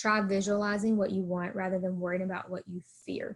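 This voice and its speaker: A woman talks at a fairly quick pace with a Southern US accent. Her voice is somewhat breathy, and her intonation is monotone and flat. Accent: US South. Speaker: college counselor. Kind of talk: presentation. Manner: fast.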